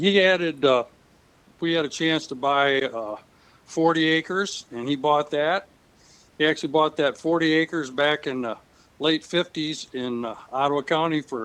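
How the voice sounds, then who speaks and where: The speaker talks at a moderate pace in an Upper Midwest accent. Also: man, fairly high pitch for a man, ordinary pitch variation. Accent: Upper Midwest American. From West Michigan, US. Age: 70s. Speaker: retired farmer. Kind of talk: interview. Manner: halting.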